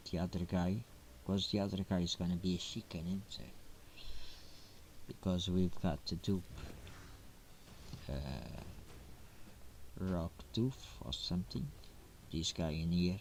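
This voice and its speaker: Soft-spoken and very deep, a man talks at a fairly slow pace with long, frequent pauses. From Portugal. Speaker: gaming streamer. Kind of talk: gameplay commentary. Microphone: quiet, low sound quality.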